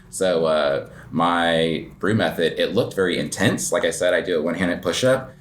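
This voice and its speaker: His voice carries audible room echo, with noticeable background noise around it. The man's pace is moderate. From New Mexico, US. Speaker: coffee shop owner and barista. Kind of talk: casual interview. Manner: hesitant, many fillers.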